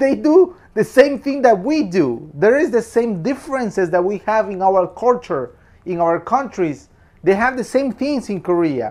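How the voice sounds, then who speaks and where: This man speaks with a Spanish accent at a moderate pace. His high voice swings very widely in pitch. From Peru. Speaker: film reviewer. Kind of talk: casual film review monologue.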